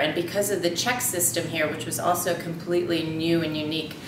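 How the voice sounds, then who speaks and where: Over noticeable background noise and audible room echo, a woman with an American accent talks in a fairly low pitch with monotone, flat intonation. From United States. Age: 30s. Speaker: expat mother in casting video. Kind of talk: personal introduction to camera. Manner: casual with frequent fillers.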